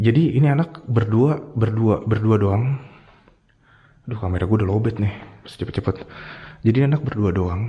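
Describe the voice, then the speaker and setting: A man with a dark, mellow, somewhat breathy tone and medium pitch talks at a fairly quick pace, taking long, frequent pauses while his loudness swings widely. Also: ordinary pitch variation. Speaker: ghost-hunting vlogger. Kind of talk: casual storytelling vlog. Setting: outdoors at night, abandoned hospital. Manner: casual slangy.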